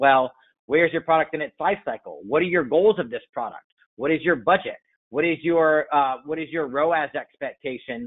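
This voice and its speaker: This man has a fairly high pitch with ordinary pitch variation. He speaks at a fairly quick pace. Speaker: e-commerce advertising expert. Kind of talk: webinar presentation. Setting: online webinar. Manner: loud; fast.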